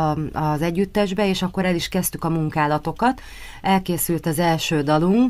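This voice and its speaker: A woman with an unremarkable speaking voice talks fairly slowly at a fairly low pitch, with ordinary pitch variation. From Hungary, Martonvásár; Hungary. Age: 30s. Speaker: pop singer; guest. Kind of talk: radio interview. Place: studio.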